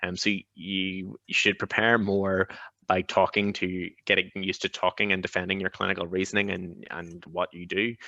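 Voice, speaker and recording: The voice has a bright, sharp tone and monotone, flat intonation. The sound is dry and close with no echo, over a quiet background. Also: man, very deep, low pitch for a man. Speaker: GP and successful exam candidate. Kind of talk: webinar Q&A advice. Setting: video webinar. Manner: fast.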